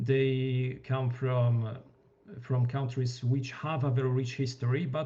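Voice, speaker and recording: A man speaks in a Polish accent at medium pitch and a fairly slow pace. His voice is somewhat breathy, with a dark, mellow tone. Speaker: wargame reviewer. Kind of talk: panel discussion. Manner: halting.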